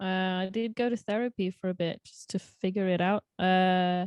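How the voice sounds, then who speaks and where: A woman with a British accent speaks fairly slowly at a medium pitch with fairly even intonation, recorded very cleanly with a silent background and a dry, close sound with no echo. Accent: British-sounding English. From Norway. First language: Norwegian. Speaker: singer-songwriter. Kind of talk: podcast interview. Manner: halting.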